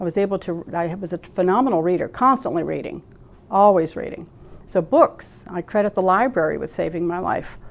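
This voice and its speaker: A woman's fairly low voice with vocal fry. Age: 60s. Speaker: psychotherapist. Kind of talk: interview.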